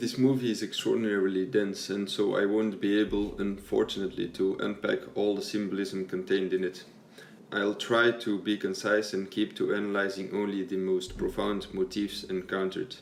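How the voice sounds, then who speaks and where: A man with a non-native accent speaks at a fairly low pitch. His pace is moderate and his intonation is monotone and flat. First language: not English. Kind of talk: video essay narration.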